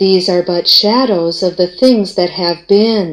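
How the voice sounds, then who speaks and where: A female-sounding voice at a medium pitch, put on as a character voice. She speaks at a fairly slow pace. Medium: old radio play. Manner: calm, solemn.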